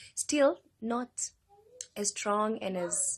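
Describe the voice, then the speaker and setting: A woman of medium pitch uses lively intonation in a dry, close sound with no echo. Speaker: fitness vlogger. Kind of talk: casual vlog update. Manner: hesitant, many fillers.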